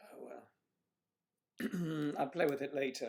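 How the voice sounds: A man speaks slowly with a fairly high pitch, fairly even intonation and a slightly mellow tone.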